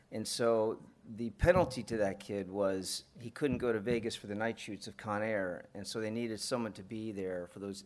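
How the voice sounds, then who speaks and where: This man has an ordinary speaking voice with an American accent, a fairly low pitch, ordinary pitch variation and a fairly quick pace. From US South, Atlanta. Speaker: film and TV producer. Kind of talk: live interview. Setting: stage with audience.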